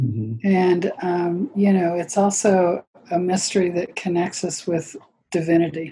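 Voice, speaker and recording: The tone is dark and mellow, somewhat breathy. Delivery is fairly slow, with ordinary pitch variation. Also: woman, fairly low pitch for a woman. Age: 70s. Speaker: yoga teacher. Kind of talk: casual interview chat. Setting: video call.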